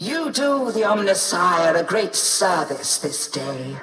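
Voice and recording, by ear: A woman puts on a character voice, speaking slowly with a fairly low pitch, a fairly bright tone and big pitch swings.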